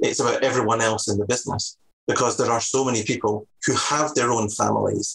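A man in a Scottish accent at medium pitch and a fairly quick pace, with fairly even intonation and very even loudness. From Scotland, Edinburgh. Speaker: salon business manager. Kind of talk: interview.

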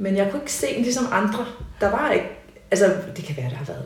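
A woman at medium pitch races along at a very fast pace with very wide pitch swings, amid audible room echo and noticeable background noise. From Copenhagen, Denmark (Nørrebro). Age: 40s. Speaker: painter and high school teacher. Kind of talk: interview conversation. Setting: at home in living room.

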